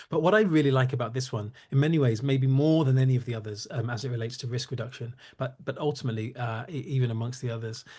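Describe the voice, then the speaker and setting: Over a quiet background, a man talks very fast in a medium-pitched, somewhat breathy voice with a dark, mellow tone and fairly even intonation. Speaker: cybersecurity company CEO and founder. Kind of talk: webinar presentation. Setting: online webinar. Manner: halting, many fillers.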